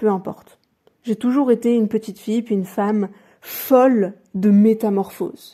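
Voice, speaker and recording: A woman with a dark, mellow tone talks at a moderate pace and a fairly high pitch. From France, with Colombian family culture. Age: 20s. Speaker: YouTuber, vlogger. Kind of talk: personal vlog narration. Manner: soft-spoken, effortful.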